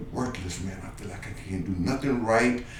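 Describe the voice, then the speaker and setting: A man with an American accent talks at a moderate pace with ordinary pitch variation. Audible room echo and noticeable background noise surround him. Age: 60s. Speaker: youth basketball coach. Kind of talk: radio interview. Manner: animated.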